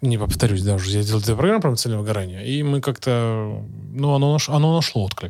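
Here is a plain, everyday voice with lively intonation. It goes at a fairly quick pace. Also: man. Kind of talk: casual interview chat. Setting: video podcast.

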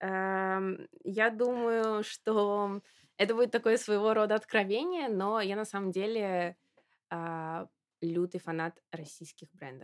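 At a very slow pace, a woman at medium pitch speaks with ordinary pitch variation and big swings in loudness, in dry, close sound with no echo on a very clean recording with a silent background. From Russia, Samara. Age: 20s. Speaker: fashion marketer and model. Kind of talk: interview.

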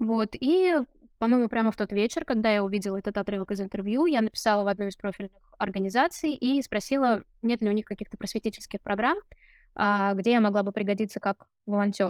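With a normal speaking voice, a woman speaks at a fairly quick pace and fairly high pitch with ordinary pitch variation, recorded dry and close with no echo on a very clean recording with a silent background. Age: 30s. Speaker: case manager at a domestic violence charity. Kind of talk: interview.

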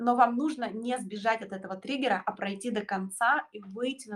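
A woman speaks in a somewhat breathy voice with ordinary pitch variation. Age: 30s. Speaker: astrologer. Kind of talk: casual chat.

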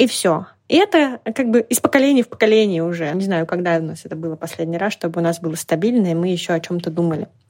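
A woman talks at a very fast pace in a fairly low voice, with a dry, close sound with no echo. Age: 40s. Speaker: business coach and recruiting agency founder. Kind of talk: casual interview. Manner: animated.

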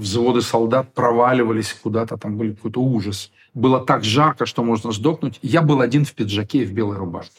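Here a man talks at a fairly quick pace and a medium pitch. His voice is somewhat breathy, with ordinary pitch variation. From Ukraine, Kyiv. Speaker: theatre director and drama teacher. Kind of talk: interview. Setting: studio.

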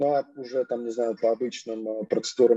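Speaking at a fairly slow pace, a man with a medium pitch and a dark, mellow tone keeps his intonation fairly even, the sound dry and close with no echo. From Russia. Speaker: professional footballer. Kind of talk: casual interview.

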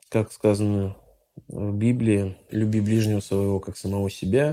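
A man talks fairly slowly at a fairly low pitch, in a dark, mellow tone with fairly even intonation. The recording is very clean, with a silent background. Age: 30s. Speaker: IT entrepreneur. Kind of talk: interview testimony.

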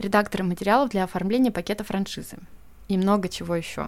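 A woman speaks at a very fast pace with medium pitch and ordinary pitch variation. The recording is very clean, with a silent background. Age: 30s. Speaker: podcast host, editor and brand communications specialist. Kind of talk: solo podcast monologue.

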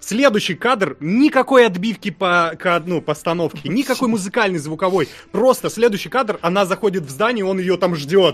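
A man's voice with lively intonation at a fairly quick pace. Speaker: podcast co-host. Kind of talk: casual chat.

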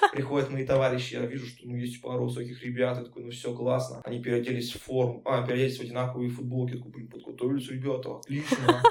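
Amid noticeable background noise, a man at a medium pitch rushes along at a very fast pace with hardly any pauses, his intonation monotone and flat and his loudness swinging widely. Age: 20s. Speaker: laser tag player and friend of host. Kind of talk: casual chat.

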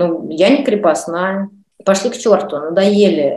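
A woman's normal speaking voice at a medium pitch, with ordinary pitch variation and a fairly slow pace. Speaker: actress and director. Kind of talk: interview.

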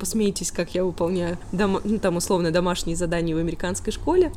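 A woman speaks at a fairly quick pace with ordinary pitch variation. Noticeable background noise runs under her voice. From Russia, Tolyatti. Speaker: YouTuber and immigrant. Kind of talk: interview. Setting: remote call.

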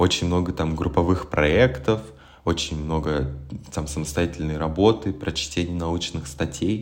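A man speaks with a very deep, low pitch. His pace is fairly slow and his pitch variation ordinary. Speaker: musician and graduate student. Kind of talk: casual chat. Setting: remote call.

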